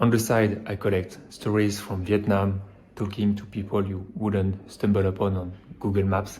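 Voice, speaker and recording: A man's fairly low, somewhat breathy voice with a dark, mellow tone and monotone, flat intonation, at a moderate pace. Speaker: software developer and podcast host. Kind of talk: podcast intro.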